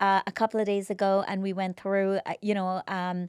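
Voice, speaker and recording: On a very clean recording with a silent background and a dry, close sound with no echo, a woman speaks at a moderate pace in a medium pitch, a plain, everyday voice. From immigrant, came to US at 21. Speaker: podcast host. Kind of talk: interview conversation.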